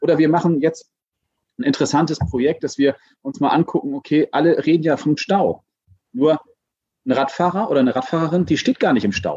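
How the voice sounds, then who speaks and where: A man's fairly high voice with vocal fry and a dark, mellow tone, very wide pitch swings, a fairly quick pace cut by long, frequent pauses, and a dry, close sound with no echo. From Hamburg. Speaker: city transport senator. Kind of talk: casual interview.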